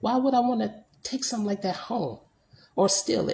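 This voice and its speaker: An animated woman's voice with vocal fry. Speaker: vlogger, former nursing home worker. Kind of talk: casual vlog rant. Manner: animated, repetitive.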